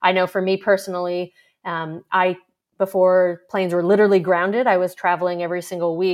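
A woman talks at a moderate pace in a New York accent. The background is quiet. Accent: New York American. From New York, US. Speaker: startup investor. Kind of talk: interview conversation.

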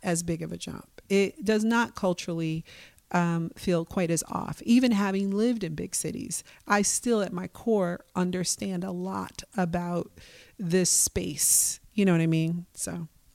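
A woman with an American accent, an ordinary speaking voice at medium pitch and a fairly slow pace. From US Midwest, Milwaukee, Wisconsin. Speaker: nonprofit leader. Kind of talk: interview conversation.

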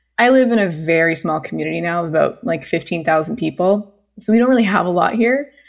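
Against a quiet background, a woman with a Canadian accent talks very fast in a fairly low pitch with lively intonation. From Canada (British Columbia). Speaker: podcast host. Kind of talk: casual interview.

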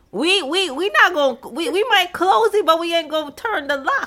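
A woman speaks at a moderate pace in a raised, projected voice, her extremely high pitch making very wide swings over noticeable background noise. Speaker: podcast host. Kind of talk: casual chat.

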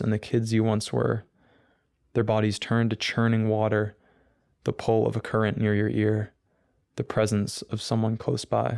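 On a very clean recording with a silent background, a man speaks with an American accent at a fairly low pitch and moderate pace. His loudness is very even, his intonation monotone and flat, and his tone dark and mellow. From US Northeast. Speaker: college student and poet. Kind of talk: poetry reading and interview.

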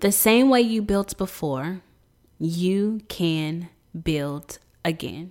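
Her pitch sits at a medium level for a woman, with lively intonation. The recording is very clean, with a silent background. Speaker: podcast host. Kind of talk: solo podcast monologue, personal testimony. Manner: warm, intimate, emotionally heightened, dramatic build-up in the 1:47 stretch; earnest, conversational, encouraging.

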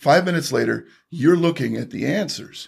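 The pace is moderate, with ordinary pitch variation. It is a very clean recording with a silent background. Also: man. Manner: animated, punchy, brash salesman patter with emphatic repetition.

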